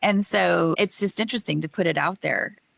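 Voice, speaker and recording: With vocal fry, a woman speaks at a moderate pace in a dry, close sound with no echo. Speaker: podcast host and executive coach. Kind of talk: casual chat.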